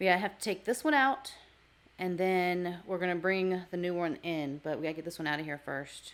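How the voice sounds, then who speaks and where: A woman's normal speaking voice, fairly low in pitch with ordinary pitch variation, at a fairly quick pace. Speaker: vlogger caring for elderly father. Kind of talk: casual vlog talk and interviewing.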